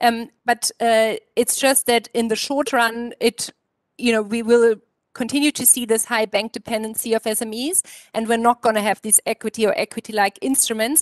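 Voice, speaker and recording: With a German accent and a fairly high pitch, a woman speaks at a moderate pace in a flat monotone, with dry, echo-free sound and a quiet background. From Germany. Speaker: economist; panellist. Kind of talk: panel discussion. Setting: virtual conference. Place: home room. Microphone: headset.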